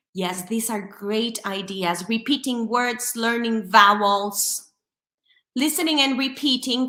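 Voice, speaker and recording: The speaker talks at a fairly slow pace with a Spanish accent, a bright, sharp tone and ordinary pitch variation. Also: woman. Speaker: English teacher. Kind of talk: webinar presentation.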